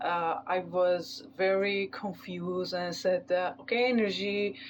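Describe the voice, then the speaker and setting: Over a quiet background, a woman speaks at a very slow pace with a non-native accent. Her pitch is medium, with ordinary pitch variation. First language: not English. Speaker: tarot reader. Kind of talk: tarot reading. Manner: halting, many fillers.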